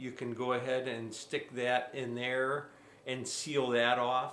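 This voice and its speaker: A man of medium pitch speaks at a very slow pace, with audible room echo in the recording. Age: 60s. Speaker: drywall contractor YouTuber doing product review. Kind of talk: product review tutorial. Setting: at home. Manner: casual, repetitive with frequent self-restarts.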